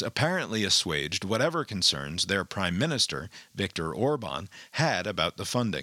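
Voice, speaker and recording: Bright, sharp tone with vocal fry and very wide pitch swings, at a moderate pace, in a very clean recording with a silent background and a dry, close sound with no echo. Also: man. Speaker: news podcast host. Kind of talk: news reading with editorial commentary.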